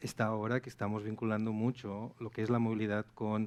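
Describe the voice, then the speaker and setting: A man talks at a fairly quick pace in a strong Catalan accent. His pitch sits fairly low. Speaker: traffic software sales manager. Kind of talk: panel discussion.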